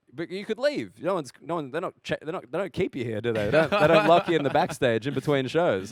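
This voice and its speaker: A man with an Australian accent, very fast, with a fairly high pitch, lively intonation and a dry, close sound free of echo. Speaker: stand-up comedian. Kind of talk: interview answer.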